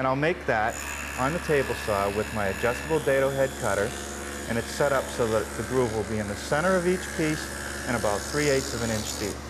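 There is noticeable background noise here. Over it, a man talks fairly quickly. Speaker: woodworking show host. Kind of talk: tutorial. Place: workshop.

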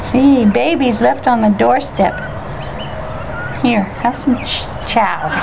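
The speech is very slow, with long, frequent pauses. Noticeable background noise runs underneath. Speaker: homeowner feeding ducks. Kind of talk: casual talk to animals while filming. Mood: playful, affectionate. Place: garden. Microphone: phone near.

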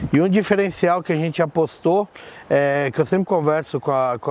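Fairly quick and dry with no echo, a man talks in a high pitch. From São Paulo state, Brazil. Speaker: event tent rental business owner. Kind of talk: interview. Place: garden.

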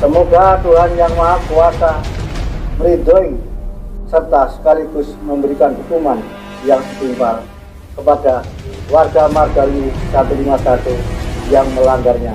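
Long, frequent pauses from a man at a fairly slow pace, with very even loudness and clear music in the background. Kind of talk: formal proclamation. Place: hall. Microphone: camera far.

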